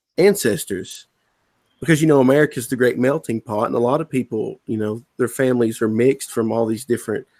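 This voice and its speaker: Heard in a dry, close sound with no echo, a man with a Southern US accent speaks at a medium pitch with ordinary pitch variation. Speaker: comic book writer. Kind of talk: casual chat. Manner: halting, with repeated words.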